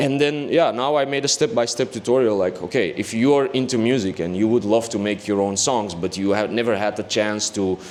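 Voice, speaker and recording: A man talks at a fairly quick pace with hardly any pauses, his pitch medium and its variation ordinary. Noticeable background noise runs underneath. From Belgium, Antwerp. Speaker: music producer and DJ. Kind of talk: casual interview.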